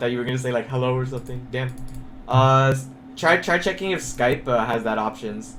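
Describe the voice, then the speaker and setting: Audible room echo follows a man speaking at a medium pitch and a fairly quick pace. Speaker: game coach. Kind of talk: coaching session over voice call. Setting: online voice call. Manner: fast; loud.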